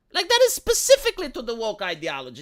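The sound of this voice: The voice is squeaky and fairly bright, moving fast with very wide pitch swings. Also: woman.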